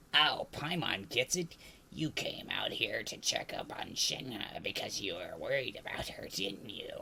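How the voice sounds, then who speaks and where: A man puts on a raspy character voice at a fairly high pitch. He keeps a moderate pace, with light background noise behind him. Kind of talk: comic overacting. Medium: game stream. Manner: chirpy, refers to self in third person.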